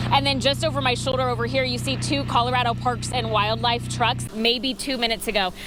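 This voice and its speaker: A woman with a very deep, low pitch talks at a fairly quick pace with hardly any pauses, against noticeable background noise. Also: ordinary pitch variation. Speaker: television news reporter. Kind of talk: broadcast news reporting. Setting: outdoors, live field reporting at scenes.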